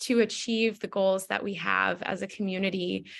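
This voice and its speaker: A woman has an ordinary speaking voice of medium pitch. She talks at a moderate pace against a quiet background. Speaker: food policy coalition panelist. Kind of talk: webinar presentation. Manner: many filler words (um, uh).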